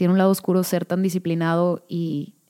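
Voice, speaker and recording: A woman speaks with a Mexican accent at a medium pitch and a fairly slow pace. Her tone is dark and mellow, and the sound is dry and close with no echo. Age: 30s. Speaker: podcast host. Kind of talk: casual solo monologue. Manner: natural with pauses.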